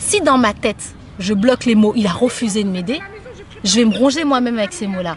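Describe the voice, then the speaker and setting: A woman talks at a high pitch. Noticeable background noise runs underneath. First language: Somali (speaking French). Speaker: interviewee sharing life experience. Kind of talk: casual interview conversation. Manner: hesitant, with frequent repetitions.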